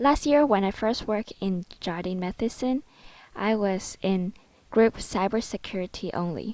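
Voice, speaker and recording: A woman in a Cantonese accent talks at a moderate pace and a medium pitch with ordinary pitch variation, in a very clean recording with a silent background. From Hong Kong. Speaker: student. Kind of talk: presentation. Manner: formal.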